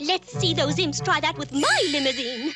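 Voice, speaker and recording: A cartoonish character voice pitched fairly high, at a moderate pace. Background noise is clearly audible. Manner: warm, fussy.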